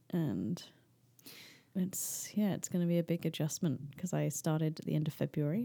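A woman speaks in a fairly low pitch with a dark, mellow tone. The recording is very clean, with a silent background. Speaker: guest sharing her mental health story. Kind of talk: casual chat.

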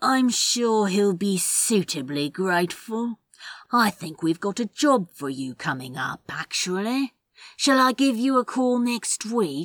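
A female-sounding voice at medium pitch puts on a character voice. The pace is fairly slow. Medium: read story. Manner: calm, cold.

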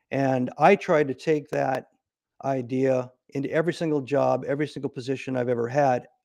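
With an American accent, a man speaks in a plain, everyday voice at medium pitch with fairly even intonation, in a dry, close sound with no echo. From US Midwest, Nebraska. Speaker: retired Navy SEAL officer and CEO. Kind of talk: interview.

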